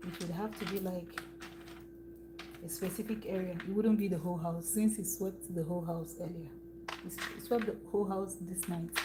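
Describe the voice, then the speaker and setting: A woman with a Nigerian accent and fairly low pitch speaks at a fairly quick pace, leaving long, frequent pauses and using ordinary pitch variation. Audible room echo and noticeable background noise fill the recording. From eastern Nigeria. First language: Igbo. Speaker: food and lifestyle vlogger. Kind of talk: casual livestream chat while cooking. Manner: conversational.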